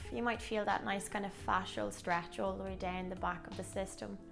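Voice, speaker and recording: A woman speaks with clear music in the background. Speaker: pilates instructor. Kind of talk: exercise class instruction. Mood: calm, encouraging, some laughter. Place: home room.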